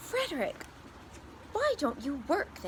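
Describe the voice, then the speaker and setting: A woman uses a put-on character voice pitched extremely high. Background noise is clearly audible. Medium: read story.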